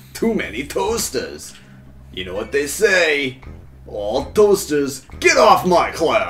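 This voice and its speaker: Music plays in the background as a man speaks in a put-on character voice. His pace is very slow. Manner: silly, cartoonish.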